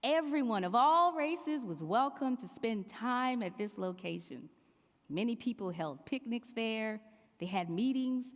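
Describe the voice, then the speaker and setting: A woman with a South Carolina Lowcountry accent, fairly high in pitch, with very wide pitch swings and a fairly slow pace. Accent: Southern, South Carolina Low Country. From US South, South Carolina Low Country. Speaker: preacher. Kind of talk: sermon.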